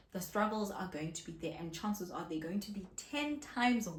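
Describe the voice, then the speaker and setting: A woman speaks with lively intonation. There is audible room echo. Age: 30s. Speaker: content creator. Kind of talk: casual vlog talk to camera. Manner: soft-spoken.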